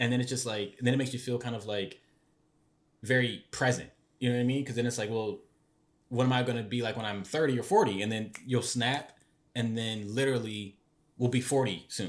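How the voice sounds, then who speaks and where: A man at medium pitch talks at a fairly quick pace with fairly even intonation, broken by long, frequent pauses. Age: 20s. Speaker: podcast co-host. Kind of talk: casual chat. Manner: rambling with many fillers.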